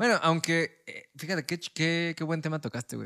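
In a bright, sharp tone, a man speaks at a moderate pace with a fairly high pitch, the sound dry and close with no echo. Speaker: podcast co-host. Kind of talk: casual chat.

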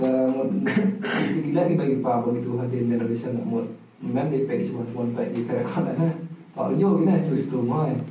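Lively intonation from a man at medium pitch and moderate pace, with noticeable background noise and audible room echo. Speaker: podcast co-host. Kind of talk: casual chat. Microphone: camera audio, poor sound quality.

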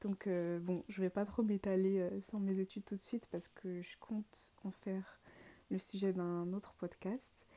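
Speaking at a fairly slow pace, a woman has a medium pitch, a dark, mellow tone and monotone, flat intonation. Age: 20s. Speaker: student podcaster. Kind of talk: casual monologue. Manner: hesitant, many fillers.

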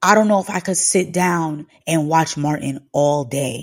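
Animated tone from a woman, very clean recording with a silent background. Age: 20s. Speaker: podcast host. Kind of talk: casual solo chat. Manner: conversational, uses y'all.

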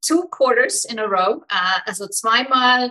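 A woman's very slow delivery in a bright, sharp tone with an Icelandic accent. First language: Icelandic (speaking German). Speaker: business mentor. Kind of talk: interview.

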